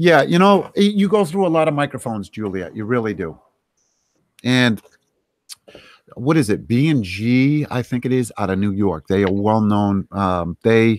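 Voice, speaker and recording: A man at a moderate pace with very wide pitch swings, in a very clean recording with a silent background. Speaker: streamer. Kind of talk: casual chat.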